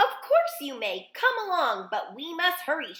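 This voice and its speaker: A woman's put-on character voice, extremely high in pitch with very wide pitch swings, at a moderate pace. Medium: read story. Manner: fussy, frantic.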